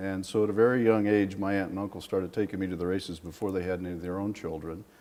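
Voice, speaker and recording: A man with an American accent and a very deep, low pitch, very fast and monotone, in a dark, mellow tone. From US Midwest, west central Illinois. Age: 60s. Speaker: vintage racing historian. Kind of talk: interview. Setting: museum.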